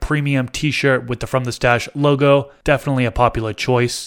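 A man with a normal speaking voice talks at a medium pitch and fairly quick pace, keeping his intonation fairly even. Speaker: podcast host. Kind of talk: casual chat.

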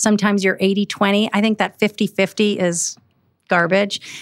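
A woman with an American accent uses a normal speaking voice at a fairly quick pace. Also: very clean recording, silent background. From Milwaukee, Wisconsin. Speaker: public servant and business owner. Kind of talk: podcast interview.

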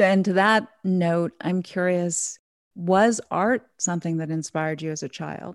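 Over a quiet background in a dry, close sound with no echo, a woman with an unremarkable speaking voice talks at a fairly low pitch with ordinary pitch variation. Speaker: podcast host. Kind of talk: interview, scripted intro.

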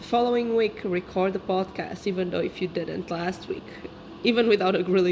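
A woman with a non-native accent talks at a fairly quick pace with ordinary pitch variation. Noticeable background noise runs behind her. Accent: foreign. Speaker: podcast host. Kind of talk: solo monologue. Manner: casual, rambling.

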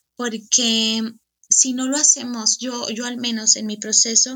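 This woman speaks with a high-pitched voice. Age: 30s. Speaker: coaching client sharing testimony. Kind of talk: testimony. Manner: halting, with frequent repetitions.

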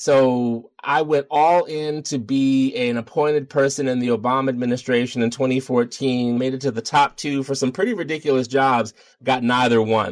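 A man with an American accent and a normal speaking voice, medium pitch, fairly even intonation. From Baltimore, Maryland, US. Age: middle-aged. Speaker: yoga teacher and activist. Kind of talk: interview.

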